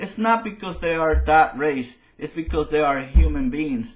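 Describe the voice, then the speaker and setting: Speaking with a Spanish accent, a man talks at a moderate pace in a high pitch. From Latin America. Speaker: political commentator. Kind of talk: opinion monologue. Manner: halting.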